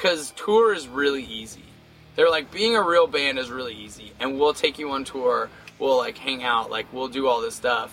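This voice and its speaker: A man of medium pitch speaks at a moderate pace with lively intonation and big swings in loudness. Background noise is noticeable. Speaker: touring punk metal band singer. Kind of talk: interview.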